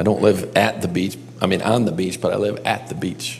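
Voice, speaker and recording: A fairly low-pitched man with an American accent, with audible room echo and music in the background. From western New York (Buffalo area). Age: 50s. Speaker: pastor and counselor. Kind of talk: teaching session. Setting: classroom with live audience. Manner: animated.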